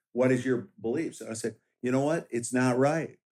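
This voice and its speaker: A man talks in a normal speaking voice at medium pitch. His pace is fairly quick. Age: 60s. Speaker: sheriff candidate and police officer. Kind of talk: interview.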